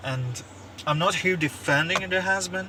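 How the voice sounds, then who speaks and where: A man with a non-native accent talks at a very slow pace. His pitch variation is ordinary, and there is noticeable background noise. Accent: non-native English, says pronunciation is bad. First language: not English (French, Russian or Turkish). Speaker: YouTuber commentator. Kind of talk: opinion monologue. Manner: halting, many fillers and repeats; animated.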